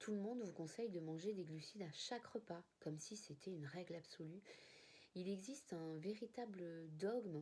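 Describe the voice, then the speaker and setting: At a moderate pace, a woman speaks at a medium pitch with a dark, mellow tone and ordinary pitch variation. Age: 40s. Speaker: type 1 diabetic sharing her experience. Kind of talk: personal testimony to camera. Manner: hesitant, with fillers and repetitions.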